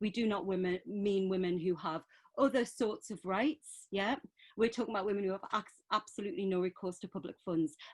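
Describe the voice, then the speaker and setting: With a Geordie accent, a woman talks at a fairly quick pace. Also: medium pitch for a woman, ordinary pitch variation. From northeast England. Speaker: women's centre worker. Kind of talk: panel talk.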